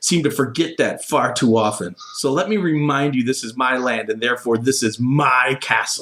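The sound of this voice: What we hear is an unforced reading voice.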